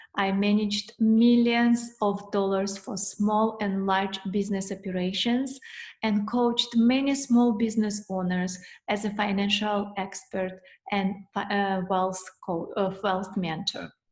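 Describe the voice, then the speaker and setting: Speaking with a Russian accent, a woman has a medium pitch, a somewhat breathy sound, fairly even intonation, and a fairly slow pace. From former Soviet Union (Russia). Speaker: financial coach, accountant. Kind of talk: webinar presentation. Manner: halting, with fillers.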